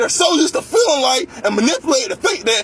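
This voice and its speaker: A man speaks loudly and at a fairly quick pace, his pitch extremely high. Noticeable background noise sits behind him. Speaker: vlogger ranting about workplace. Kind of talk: angry rant monologue.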